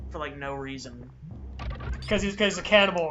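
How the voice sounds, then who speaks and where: The speaker uses a put-on character voice at a middle pitch and a fairly quick pace. Clear background noise runs behind it. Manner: screaming, theatrical.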